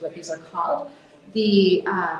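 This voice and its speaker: An American accent with ordinary pitch variation, amid audible room echo and noticeable background noise. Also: woman. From US. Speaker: conference speaker, mental health nonprofit founder. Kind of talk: conference talk.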